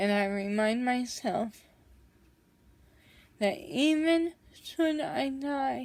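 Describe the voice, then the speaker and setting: A woman speaks at a high pitch with lively intonation. Her pace is very slow, with long, frequent pauses. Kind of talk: personal vlog talk to camera. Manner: slow, strained, breathy.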